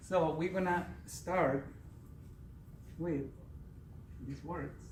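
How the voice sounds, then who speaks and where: This man's voice sits fairly high in pitch, with fairly even intonation at a very slow pace. Audible room echo surrounds it. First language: Spanish. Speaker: Spanish teacher. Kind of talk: prepared speech at a speaking club.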